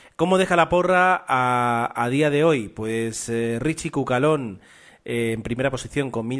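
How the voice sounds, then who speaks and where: A man with a Spanish accent speaks at a moderate pace and a medium pitch with ordinary pitch variation. The recording is very clean with a silent background. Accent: Spain Spanish. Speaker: podcast host. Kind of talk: casual chat.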